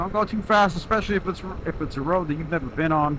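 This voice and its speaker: Over noticeable background noise, a man speaks loudly at a high pitch with ordinary pitch variation. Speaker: motovlogger. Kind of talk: casual vlog narration while riding. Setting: on a motorcycle, in helmet.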